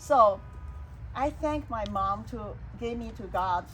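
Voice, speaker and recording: Speaking with a Chinese accent, a woman leaves long, frequent pauses. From China. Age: 60s. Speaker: salon host and speaker. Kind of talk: personal testimony in a casual talk.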